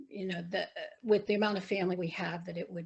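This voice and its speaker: Her voice fairly low and somewhat breathy, a woman speaks in a monotone, flat line. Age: 60s. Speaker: interviewee in oral history. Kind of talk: oral history interview.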